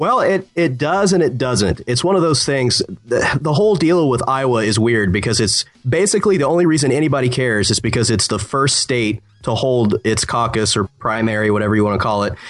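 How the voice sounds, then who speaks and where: With an American accent and an ordinary speaking voice, a man speaks at a fairly quick pace with lively intonation and very even loudness. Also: medium pitch for a man. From Ohio. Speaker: political writer. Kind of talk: casual chat.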